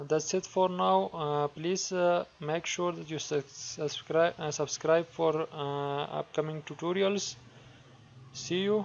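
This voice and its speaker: A man with a non-native accent at a very slow pace, fairly high in pitch, with ordinary pitch variation. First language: not English. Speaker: software tutorial creator. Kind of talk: tutorial. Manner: halting, many fillers.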